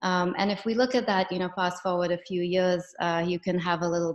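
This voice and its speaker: A woman speaks at a fairly quick pace in a fairly low voice with monotone, flat intonation. The background is quiet. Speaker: professor. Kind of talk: lecture. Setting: video call. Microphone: video call.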